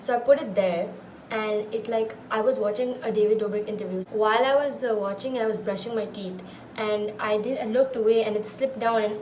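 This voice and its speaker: A woman talks at a fairly quick pace with a fairly high pitch. Noticeable background noise and audible room echo are present. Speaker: vlogger. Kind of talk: casual vlog. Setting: at home. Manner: loud; animated.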